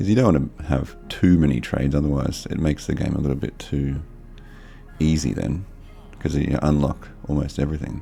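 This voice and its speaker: A man speaks at a fairly quick pace with a very deep, low pitch. His tone is relaxed, and music plays in the background. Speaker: gaming video creator. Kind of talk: let's play commentary. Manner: monotone; casual, relaxed.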